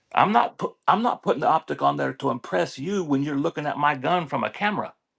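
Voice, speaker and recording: In a dry, close recording with no echo, a man talks very fast at a fairly high pitch, with lively intonation and vocal fry. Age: 60s. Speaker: gun enthusiast. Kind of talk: casual chat.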